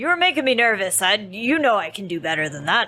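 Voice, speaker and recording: This put-on character voice races along at a very fast pace with very wide pitch swings. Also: woman. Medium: actual play.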